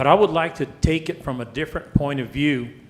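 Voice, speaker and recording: With noticeable background noise, someone speaks in an American accent at a moderate pace with ordinary pitch variation. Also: man. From El Paso area, Texas (Isleta). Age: 70s. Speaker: public commenter, resident. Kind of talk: public comment at council meeting. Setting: city council meeting.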